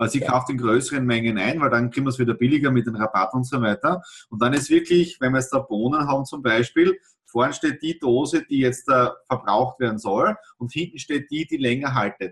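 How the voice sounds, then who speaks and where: A man talks at a fairly quick pace and a medium pitch. His voice is somewhat breathy, with ordinary pitch variation. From Austria, south-eastern Styria. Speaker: podcast host. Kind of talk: casual interview.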